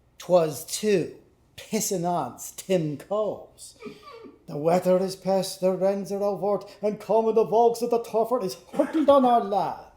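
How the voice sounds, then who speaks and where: A man with a high voice and ordinary pitch variation is heard over noticeable background noise. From Irish-Canadian. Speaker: actor. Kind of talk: literary reading before a live audience. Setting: live performance in a pub.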